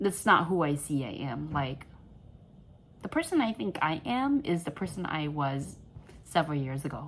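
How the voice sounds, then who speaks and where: A woman with a very deep, low pitch speaks quietly and somewhat breathily. Her intonation is lively, broken by long, frequent pauses. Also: moderate pace. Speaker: crochet vlogger. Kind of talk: casual vlog monologue. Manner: rambling, halting with many fillers; quiet, holding back volume.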